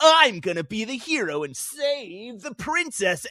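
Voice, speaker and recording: Fairly slow and fairly high-pitched, this put-on character voice makes very wide pitch swings. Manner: overacted, heroic, unappealing.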